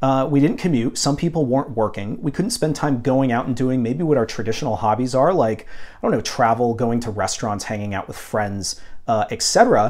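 This man keeps a moderate pace. He hardly pauses at all. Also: ordinary pitch variation. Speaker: vinyl collector vlogger. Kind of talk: casual vlog chat. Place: home room. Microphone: lapel.

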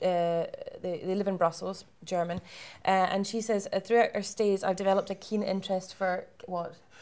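A woman with a Scottish accent sounds cheerful despite monotone, flat intonation. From Scotland. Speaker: webinar host. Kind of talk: hosted webinar panel discussion. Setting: live-streamed webinar. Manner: cheerful, laughs often. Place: hall.

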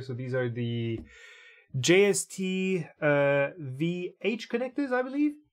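A man is speaking. The background is quiet. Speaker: maker livestreamer. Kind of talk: casual livestream chat while building. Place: workshop.

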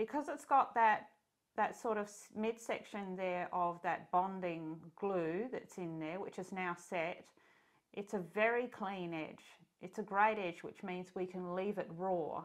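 Against a quiet background, a woman with an Australian accent talks at a fairly slow pace with ordinary pitch variation. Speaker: sewing pattern designer and illustrator. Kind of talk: tutorial. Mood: warm, relaxed.

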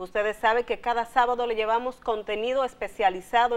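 Very rapid speech from a fairly high-voiced woman, intonation fairly level. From Dominican Republic, Salcedo. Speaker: TV health show host and health journalist. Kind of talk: talk show conversation. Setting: studio. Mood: warm, welcoming. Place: studio. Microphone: lapel.

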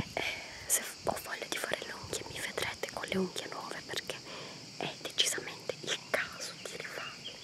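A woman's soft-spoken whisper at a moderate pace, broken by long, frequent pauses. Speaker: vlogger. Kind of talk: casual vlog chat. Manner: soft close whisper, casual. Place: forest. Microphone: phone near.

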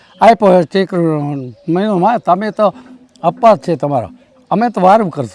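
Recorded dry and close with no echo, a man speaks at a high pitch with lively intonation. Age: old. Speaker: devotee recalling memories. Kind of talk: interview testimony. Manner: halting.

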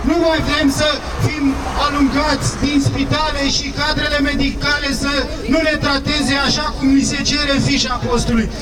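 A man speaks at a moderate pace. Crowd noise fills the background. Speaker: speaker. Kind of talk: protest speech. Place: street.

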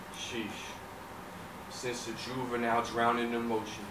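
A man speaks at a fairly slow pace with noticeable background noise around him. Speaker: talent show performer. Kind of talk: spoken word poetry performance. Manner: rhythmic, dramatic delivery. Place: stage.

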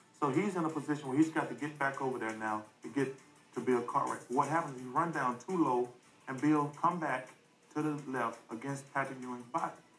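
With music in the background, a man talks at a fairly quick pace using fairly even intonation. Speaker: basketball player. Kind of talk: sports analysis on TV. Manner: soft-spoken.

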